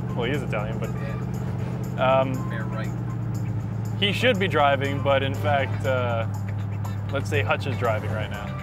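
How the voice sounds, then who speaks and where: With music in the background, a man talks at a moderate pace in a dry sound with no echo. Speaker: car show host. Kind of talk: casual vlog chat. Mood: amused, relaxed. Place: car.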